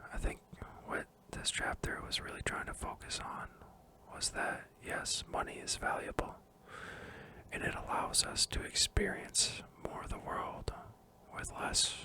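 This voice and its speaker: Over noticeable background noise, a man whispers at a fairly slow pace with long, frequent pauses. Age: 20s. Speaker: ASMR creator. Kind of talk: book review, casual talk to camera. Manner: soft-spoken, whispering.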